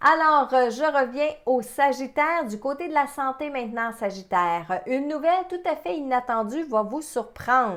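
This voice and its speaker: A woman speaks in a high pitch with lively intonation at a fairly slow pace. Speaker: psychic medium. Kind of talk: webinar presentation. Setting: online webinar.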